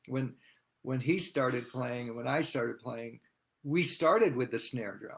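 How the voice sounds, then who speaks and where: An unremarkable speaking voice from a man with an American accent, medium pitch, ordinary pitch variation and a fairly slow pace. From US Northeast, Massachusetts. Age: 60s. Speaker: drummer. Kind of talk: interview.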